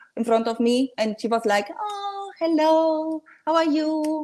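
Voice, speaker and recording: A woman with a Spanish accent, speaking at a fairly slow pace. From Dominican Republic, then Spain. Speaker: guest. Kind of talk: casual chat. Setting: video call.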